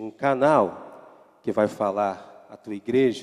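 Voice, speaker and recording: A man speaks at a very slow pace. His voice is fairly low, with fairly even intonation. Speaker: pastor. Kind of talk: sermon. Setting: church.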